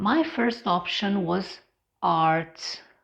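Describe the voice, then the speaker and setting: Speaking in a Romanian accent, a woman goes at a very slow pace with very wide pitch swings. The background is quiet. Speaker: English teacher. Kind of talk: personal vlog monologue.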